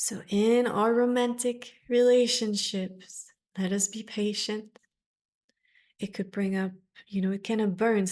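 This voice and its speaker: On a very clean recording with a silent background, a woman at medium pitch talks at a fairly slow pace with fairly even intonation. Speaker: Vedic astrologer. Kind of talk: astrology forecast talk to camera.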